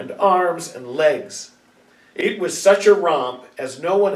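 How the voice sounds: The pitch variation is ordinary in this natural reading voice.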